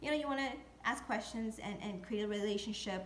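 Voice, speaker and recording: Through audible room echo, a woman speaks with lively intonation in a somewhat breathy voice. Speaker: real estate video blogger. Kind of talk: tutorial. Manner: hesitant, many fillers.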